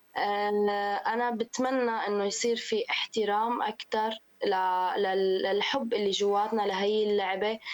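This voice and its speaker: A woman speaks at a very slow pace in a monotone, flat intonation. Her loudness stays very even. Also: fairly high pitch for a woman. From Syria. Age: 20s. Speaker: women's football player. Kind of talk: radio interview.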